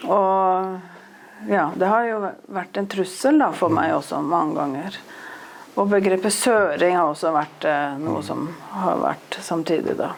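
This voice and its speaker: A woman with an eastern Norwegian accent at a fairly slow pace, with noticeable background noise and audible room echo. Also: medium pitch for a woman, ordinary pitch variation. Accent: broad eastern Norwegian dialect. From eastern Norway. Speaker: author. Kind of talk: interview on stage.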